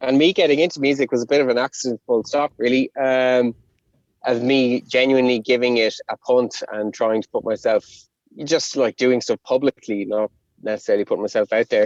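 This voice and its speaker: With a Connemara accent, a man talks at a fairly quick pace in a medium-pitched voice with fairly even intonation, in a dry, close sound with no echo. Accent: Connemara Irish. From Ireland, Connemara. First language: Irish. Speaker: rapper. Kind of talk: interview.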